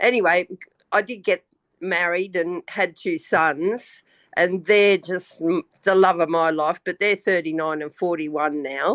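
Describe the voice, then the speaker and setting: With an Australian accent, a woman talks at a fairly low pitch and a fairly slow pace. Her pitch varies in an ordinary way against a quiet background. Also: dry, close sound with no echo. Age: 70s. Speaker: retired banker, spiritual guest. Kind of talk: casual chat.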